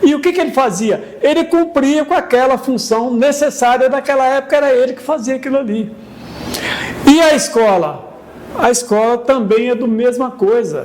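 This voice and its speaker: At a moderate pace, a man speaks with an extremely high pitch and ordinary pitch variation amid noticeable background noise. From São Paulo, Brazil. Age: 70s. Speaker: local elder interviewee, former notary. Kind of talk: documentary interview. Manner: repetitive filler-heavy, frequent 'entendeu?'.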